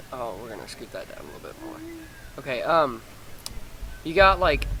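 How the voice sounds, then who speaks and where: Frequent long pauses, with background noise clearly noticeable. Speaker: gaming video creator. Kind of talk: gameplay tutorial. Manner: fast; casual, halting with fillers.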